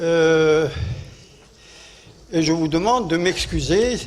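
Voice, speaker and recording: With audible room echo and noticeable background noise, a man speaks in an Arabic accent. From Algeria. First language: Arabic (speaking French). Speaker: war veteran. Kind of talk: conference speech. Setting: conference hall. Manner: halting.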